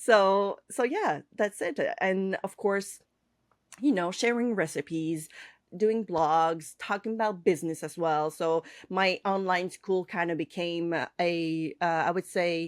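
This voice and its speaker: Here a woman talks at a medium pitch with ordinary pitch variation and a very slow pace. The recording is very clean with a silent background and a dry, close sound with no echo. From Quebec / French Canada. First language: French. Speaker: cake artist and online instructor. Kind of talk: podcast interview. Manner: halting, many fillers.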